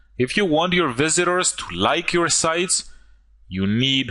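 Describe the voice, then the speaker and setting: Bright, sharp male voice with a non-native accent, lively intonation and a fairly slow pace. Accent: foreign. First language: not English. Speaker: online marketer. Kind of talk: sales pitch. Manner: animated.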